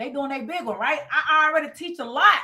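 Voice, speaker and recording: Raising and projecting her voice, a woman speaks very fast in an animated, bright, sharp tone. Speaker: business coach. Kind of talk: live webinar sales pitch. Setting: livestream with Zoom participants. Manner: loud.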